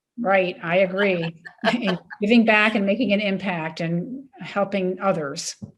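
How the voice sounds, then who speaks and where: Speaking at a fairly slow pace in an American accent, a woman uses a medium pitch with ordinary pitch variation and an unremarkable speaking voice. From US Mid-Atlantic, Maryland. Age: 60s. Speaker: retired coast guard admiral. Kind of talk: interview.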